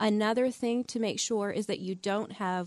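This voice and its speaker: In an unremarkable speaking voice, a woman talks at a moderate pace with ordinary pitch variation, the sound dry and close with no echo against a quiet background. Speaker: physician in geriatric training. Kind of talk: call-in radio medical Q&A. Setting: studio.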